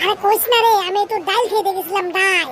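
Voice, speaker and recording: In a cartoonish character voice, a woman squeaks at an extremely high pitch. She talks at a fairly quick pace over clear background noise. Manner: wheedling, sheepish.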